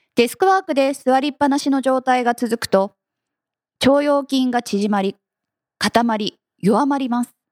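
Recorded with a dry, close sound and no echo, a woman speaks at a high pitch with ordinary pitch variation and long, frequent pauses. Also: moderate pace. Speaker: workplace fitness instructor and company head. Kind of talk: radio interview.

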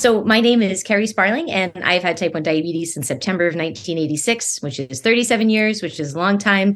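An ordinary speaking voice moves at a fairly quick pace with lively intonation. The background is quiet. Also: woman. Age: 40s. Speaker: diabetes writer and speaker. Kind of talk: casual interview. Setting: video call.

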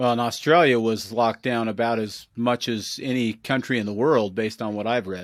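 A man with an American accent speaks in a plain, everyday voice at medium pitch and a fairly quick pace. The recording is very clean, with a silent background. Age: 40s. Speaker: podcast host. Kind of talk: interview.

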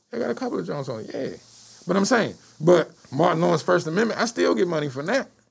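Very fast and with very wide pitch swings, a man with an American accent talks at a fairly high pitch. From Washington D.C. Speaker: stand-up comedian. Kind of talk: casual chat.

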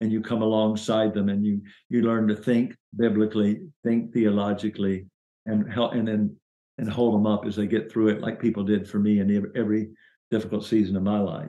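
A man's fairly low, monotone voice with flat intonation, in a Southern US accent, at a fairly quick pace. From US South, Chattanooga, Tennessee. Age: 60s. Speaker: minister and business consultant. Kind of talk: interview about faith and career.

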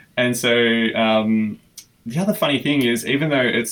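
A man with an Australian accent, medium pitch, a moderate pace and fairly even intonation. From Australia (Melbourne). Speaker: filmmaker. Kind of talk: casual interview.

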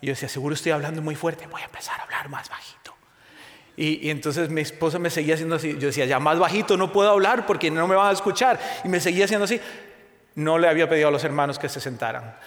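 In a room with audible echo, a man with a fairly high pitch talks at a very fast pace. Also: ordinary pitch variation. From Spain. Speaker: guest preacher. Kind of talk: sermon. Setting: church.

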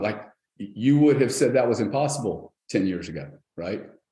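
Amid audible room echo, a man with a dark, mellow tone speaks at a moderate pace with ordinary pitch variation. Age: 60s. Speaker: company founder and CEO. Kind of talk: interview.

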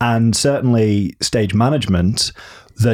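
A man with a northern English accent and fairly even intonation. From northern England. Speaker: theatre designer. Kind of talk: casual interview.

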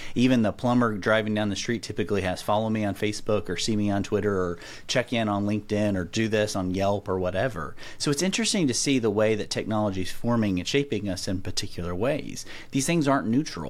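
Talking very fast in a Southern US accent, a man speaks at a fairly low pitch. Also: ordinary pitch variation. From middle Tennessee. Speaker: professor of philosophy and ethics. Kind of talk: interview conversation.

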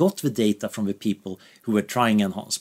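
A man talks at a fairly quick pace with a Swedish accent. The sound is dry and close, with no echo. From Sweden. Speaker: researcher. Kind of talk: interview.

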